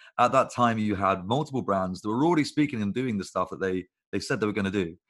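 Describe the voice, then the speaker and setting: A man's fairly low voice with a British accent, ordinary pitch variation and a very fast pace. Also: quiet background. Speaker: agency founder. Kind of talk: casual chat.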